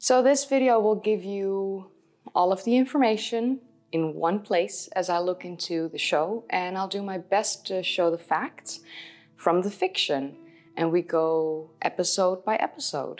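A woman speaks at a fairly slow pace with ordinary pitch variation. Faint music plays in the background. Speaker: history video host. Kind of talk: commentary to camera. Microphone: lapel.

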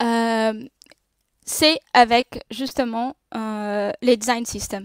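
A woman with a non-native accent speaks in a fairly high voice, the sound dry with no echo and the background quiet. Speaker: designer and speaker at a tech meetup; speaker. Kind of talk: conference talk. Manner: halting, many hesitations. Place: home room. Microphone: webcam.

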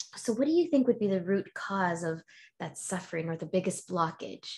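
A woman's voice is somewhat breathy, with ordinary pitch variation. She keeps a moderate pace over a quiet background. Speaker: podcast host and healer. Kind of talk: casual interview chat. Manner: animated. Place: home room.

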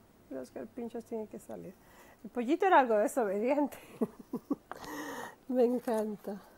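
Speaking at a moderate pace, a woman uses a fairly high pitch with a dark, mellow tone and lively intonation. Her loudness swings widely, and she takes long, frequent pauses. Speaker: storyteller. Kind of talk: children's story read-aloud. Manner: warm, friendly.

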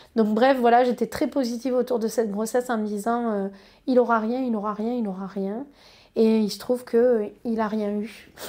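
Over a quiet background, a woman speaks in a fairly high voice with a dark, mellow tone and monotone, flat intonation. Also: moderate pace. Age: 30s. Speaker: patient with eczema sharing her experience. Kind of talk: personal testimony. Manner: halting, frequent hesitations. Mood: calm, warm, positive. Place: office.

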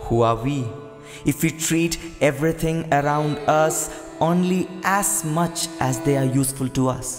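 A man speaks slowly with a fairly high pitch and fairly even intonation. His loudness stays very even while music plays in the background. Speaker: voice-over artist. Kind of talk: spoken word tribute voice-over, reflective monologue. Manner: reflective, questioning.

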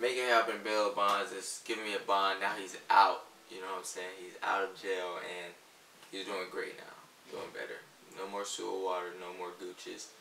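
With audible room echo and light background noise, a man speaks at a moderate pace in a fairly low pitch with monotone, flat intonation. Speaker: vlogger. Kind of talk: casual vlog chat. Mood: joking, deadpan. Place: home room.

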